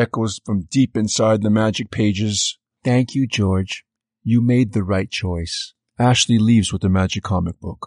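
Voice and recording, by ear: There is little sound behind the speech, as the background is quiet. The text is read aloud in a natural voice.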